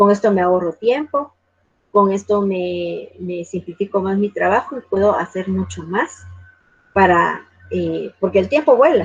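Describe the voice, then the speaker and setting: A plain, everyday voice from a woman at a medium pitch, speaking at a moderate pace with ordinary pitch variation. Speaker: university lecturer in library science. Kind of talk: online lecture.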